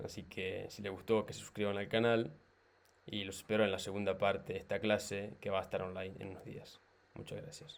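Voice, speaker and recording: This man speaks fairly quickly at a fairly low pitch with fairly even intonation. His loudness swings widely. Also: very clean recording, silent background. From Italy. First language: Italian (speaking Spanish). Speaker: chess YouTuber, amateur student. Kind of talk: video outro.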